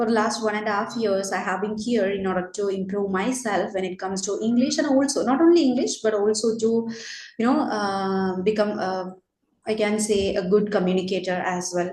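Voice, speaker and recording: Speaking fairly quickly in a Keralan accent, a woman has a medium-pitched, somewhat breathy voice, with audible room echo around her. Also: ordinary pitch variation. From India, Kerala. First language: Malayalam. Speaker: teacher. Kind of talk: casual chat.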